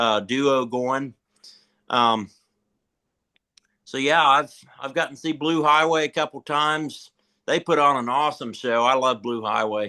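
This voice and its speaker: With an American accent, a man at a medium pitch speaks in a bright, sharp tone with ordinary pitch variation, taking long, frequent pauses over a quiet background. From Eastern Shore of Maryland. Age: 20s. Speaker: bluegrass musician. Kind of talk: casual chat.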